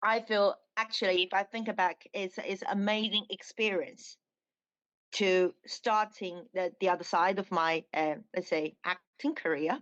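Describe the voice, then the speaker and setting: In a Chinese accent, a woman talks at a medium pitch and a fairly slow pace with ordinary pitch variation. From China. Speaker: dancer and actress. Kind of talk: interview. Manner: halting.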